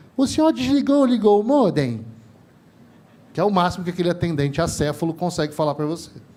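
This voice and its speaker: With a Rio de Janeiro accent, a man speaks at high pitch and a very fast pace, his pitch swinging very widely between long, frequent pauses. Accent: carioca. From Rio de Janeiro, Brazil. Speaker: telecom industry trainer, panelist. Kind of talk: panel discussion. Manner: animated, informal.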